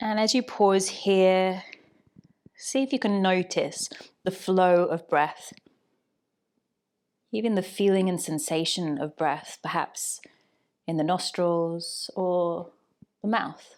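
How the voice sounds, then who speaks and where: A woman with an English accent speaks at a very slow pace and a medium pitch, with ordinary pitch variation and long, frequent pauses, on a very clean recording with a silent background. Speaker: yoga teacher. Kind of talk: guided yoga class instruction. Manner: calm, gentle.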